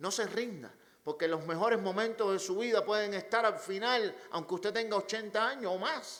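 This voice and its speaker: A man speaks in a Cuban accent at a moderate pace. His pitch is high, with ordinary variation. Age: 40s. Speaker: pastor. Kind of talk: sermon.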